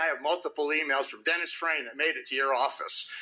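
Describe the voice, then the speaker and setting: A man speaks loudly and at a very fast pace. His pitch is high. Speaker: public commenter at city council meeting. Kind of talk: public comment speech. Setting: city council chamber. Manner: confrontational.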